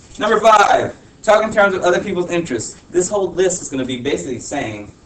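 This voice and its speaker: Over noticeable background noise and audible room echo, a man with a high pitch talks at a fairly quick pace, his pitch swinging very widely. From Honduras. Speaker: teacher. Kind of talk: classroom talk. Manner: casual, filler-heavy.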